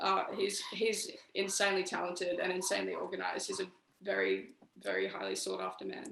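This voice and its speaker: This speaker talks at a fairly quick pace in an Australian accent. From Brisbane, Australia. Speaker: musician in a band. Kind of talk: casual interview.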